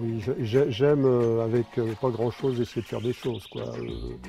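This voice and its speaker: A man's medium-pitched voice over background music. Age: 60s. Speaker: sculptor. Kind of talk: interview. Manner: halting, many hesitations.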